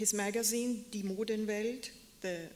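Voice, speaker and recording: A woman speaks at a medium pitch with fairly even intonation. Room echo is audible. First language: German. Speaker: museum curator. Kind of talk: lecture.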